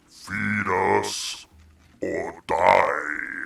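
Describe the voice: A man puts on a character voice that is raspy and guttural.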